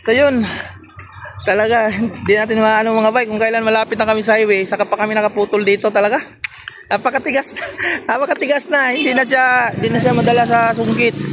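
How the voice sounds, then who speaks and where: At a very fast pace, a voice with a Visayan accent keeps fairly even intonation and very even loudness over noticeable background noise. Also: man, high pitch for a man. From Visayas, Philippines. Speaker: truck driver vlogger. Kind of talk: casual vlog talk and negotiation.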